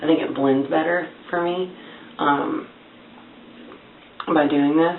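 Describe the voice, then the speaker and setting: Soft-spoken, a woman with a very deep, low pitch talks at a moderate pace with lively intonation, amid noticeable background noise and audible room echo. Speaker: beauty vlogger. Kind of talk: tutorial. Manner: casual, filler-heavy.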